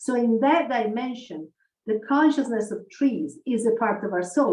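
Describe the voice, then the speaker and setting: A woman with an unremarkable speaking voice talks at a moderate pace, her intonation lively. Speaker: spiritual researcher and community ambassador. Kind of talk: online conference talk.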